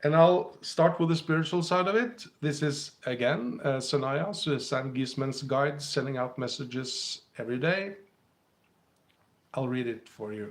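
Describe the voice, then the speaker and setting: With a Scandinavian accent, a man speaks at a fairly high pitch. His intonation is lively. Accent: Scandinavian, heard by a viewer as British. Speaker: spiritual teacher and livestream host. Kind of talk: live stream talk to viewers.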